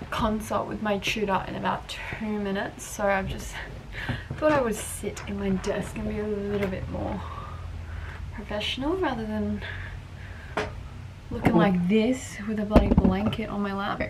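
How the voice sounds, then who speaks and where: Over loud background noise, a woman speaks at a fairly slow pace with long, frequent pauses. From Australia. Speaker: lifestyle vlogger. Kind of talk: casual vlog talk to camera. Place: home room. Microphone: phone near.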